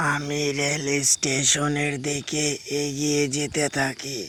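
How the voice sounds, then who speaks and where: A man's cartoonish character voice at a very slow pace, over clear background noise. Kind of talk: horror storytelling.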